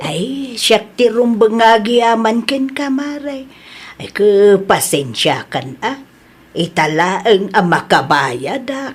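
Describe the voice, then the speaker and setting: In a put-on character voice, a woman speaks very slowly at a fairly high pitch, with very wide pitch swings and big swings in loudness. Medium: audio drama. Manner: emotional, quick to flare up.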